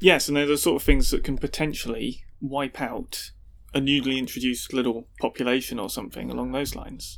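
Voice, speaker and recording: A man with a British accent and big swings in loudness. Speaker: podcast co-host. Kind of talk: casual chat.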